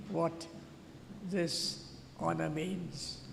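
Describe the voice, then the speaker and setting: A man speaking at a very slow pace, with audible room echo and noticeable background noise. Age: 80s+. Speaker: honoree speaking at school graduation. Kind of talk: ceremonial speech. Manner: halting.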